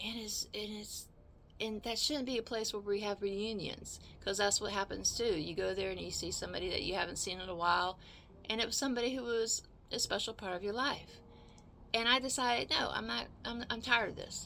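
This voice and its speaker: With vocal fry, a woman talks fairly quickly at a fairly high pitch, her tone bright and sharp and her pitch variation ordinary. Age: 60s. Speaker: video blogger. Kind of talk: casual storytelling monologue. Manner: halting, many repeated words.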